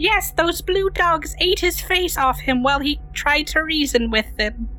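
Over clear background noise, someone delivers a put-on character voice at a moderate pace. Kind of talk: pompous faux-archaic speech. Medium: actual play. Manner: formal, archaic, philosophical.

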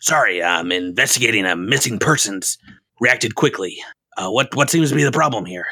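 A man puts on a raspy character voice, talking at a fairly quick pace with lively intonation. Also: medium pitch for a man. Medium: actual play. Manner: brusque, tough-talking.

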